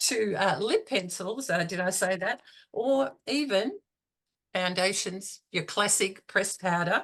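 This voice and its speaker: A woman speaks in an Australian accent. Her pitch is medium and her pace fairly slow. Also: ordinary pitch variation. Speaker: beauty consultant and trainer. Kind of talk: business talk. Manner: halting, many fillers.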